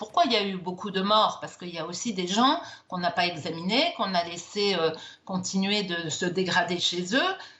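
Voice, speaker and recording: Noticeable background noise fills the clip. A woman talks through it at a moderate pace. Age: 60s. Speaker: doctor. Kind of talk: TV news interview.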